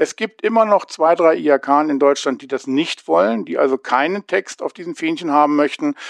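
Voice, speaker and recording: A man's fairly high-pitched, moderately paced speech with lively intonation, an unremarkable speaking voice, and a dry, close sound with no echo. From Hanover, northern Germany. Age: 50s. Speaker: adult education lecturer. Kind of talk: interview.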